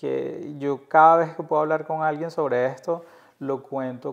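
With monotone, flat intonation, a man speaks at a fairly slow pace. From Venezuela, Caracas. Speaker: podcast host. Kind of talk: casual chat.

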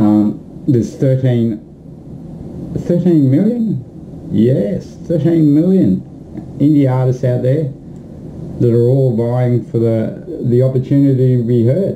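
Light background noise sits behind a man with an Australian accent. He speaks at a very slow pace, his loudness very even and his pitch variation ordinary. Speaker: music promoter. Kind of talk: promotional video message. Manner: animated. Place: home room. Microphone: webcam.

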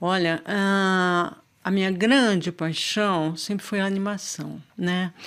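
Against a quiet background, a woman speaks very slowly at a medium pitch with fairly even intonation. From Brazil, São Paulo. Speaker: visual artist and video maker; guest. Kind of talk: interview. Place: studio. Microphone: studio mic.

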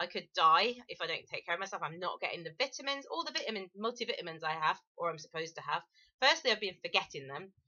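Over a quiet background, a woman with an English accent speaks in a bubbly tone at a very fast pace, her pitch swinging very widely. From England. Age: 40s. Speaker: vlogger; vlogger sharing a personal health story. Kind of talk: personal testimony vlog. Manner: hesitant, many fillers. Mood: earnest, warning, confessional. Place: home room. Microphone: webcam.

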